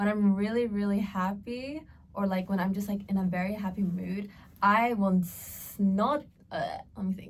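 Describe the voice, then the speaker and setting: A somewhat breathy woman's voice with an American accent and ordinary pitch variation. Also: medium pitch for a woman, moderate pace. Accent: American-sounding. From Australia. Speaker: podcast co-host. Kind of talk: casual chat.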